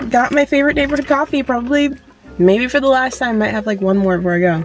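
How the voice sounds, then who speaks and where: A woman's high-pitched voice at a very fast pace, lively intonation, music in the background. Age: 20s. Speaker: lifestyle vlogger. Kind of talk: casual vlog talk to camera.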